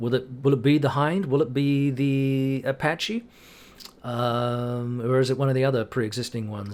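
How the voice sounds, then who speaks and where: A man with a New Zealand accent. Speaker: gaming YouTuber. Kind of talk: casual commentary video update. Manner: hesitant, many fillers.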